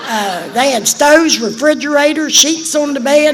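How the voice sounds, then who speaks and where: There is noticeable background noise and audible room echo. Through it, a woman talks. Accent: Appalachian. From West Virginia. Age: old. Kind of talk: testimony.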